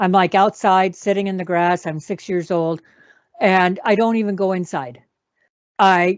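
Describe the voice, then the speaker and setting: A woman's voice sits at a medium pitch and moves at a moderate speed. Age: 60s. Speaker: talk show co-host and memoir author. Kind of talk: personal testimony in casual conversation. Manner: halting, many fillers.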